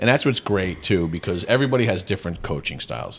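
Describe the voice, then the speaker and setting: A man is speaking. His intonation is lively. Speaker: youth baseball coach and podcast host. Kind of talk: casual chat. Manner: loud; animated.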